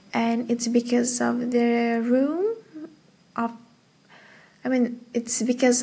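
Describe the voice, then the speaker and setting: Very slowly, a woman speaks in a high pitch with a dark, mellow tone. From Indonesia. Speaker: podcaster. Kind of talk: casual solo diary-style monologue. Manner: casual, hesitant with fillers.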